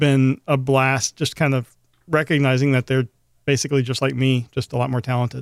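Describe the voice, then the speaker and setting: A man with an American accent speaks at a fairly quick pace in a medium pitch, in an unremarkable speaking voice, recorded very cleanly with a silent background and a dry, close sound with no echo. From US South, Memphis, Tennessee. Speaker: podcast co-host. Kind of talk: casual chat.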